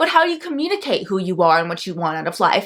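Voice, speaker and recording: This voice has a bright, sharp tone and an animated delivery, with very wide pitch swings. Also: woman. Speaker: astrologer teaching a course. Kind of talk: tutorial. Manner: fast.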